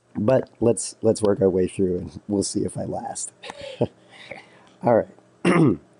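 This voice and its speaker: A man speaks at a very slow pace, leaving long, frequent pauses, with lively intonation. Noticeable background noise runs underneath. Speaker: math teacher. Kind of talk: lecture.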